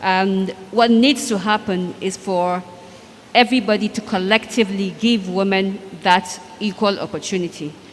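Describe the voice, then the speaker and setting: A woman at medium pitch and moderate pace, her intonation fairly even, with noticeable background noise. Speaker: banker and former state commissioner. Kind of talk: panel discussion.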